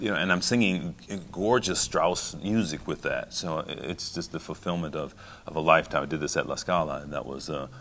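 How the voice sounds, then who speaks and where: A fairly quick-paced man with a very deep, low pitch and ordinary pitch variation. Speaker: opera singer, bass baritone. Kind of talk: interview answer. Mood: warm, reflective. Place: hall. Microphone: handheld.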